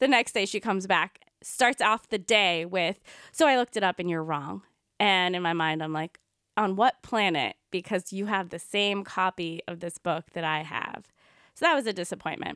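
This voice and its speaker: A woman with an American accent, medium pitch, a bright, sharp tone, ordinary pitch variation and a moderate pace, in a dry, close sound with no echo on a very clean recording with a silent background. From US, Indian American. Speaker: podcast co-host, yoga teacher. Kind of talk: casual conversational podcast.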